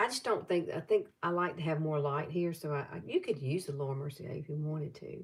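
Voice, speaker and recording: A somewhat breathy woman's voice in a Southern US accent, very deep and low in pitch, with ordinary pitch variation, a fairly quick pace, and hardly any pauses. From US South, Alabama. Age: 60s. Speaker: beauty vlogger. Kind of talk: makeup tutorial livestream. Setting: live stream. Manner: casual, chatty.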